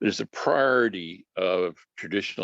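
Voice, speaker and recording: Vocal fry marks this man's speech. His sound is dry and close, with no echo. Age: 70s. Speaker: retired programmer and former computer science teacher. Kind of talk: casual reminiscing in group video chat. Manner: searches for words, occasional pauses.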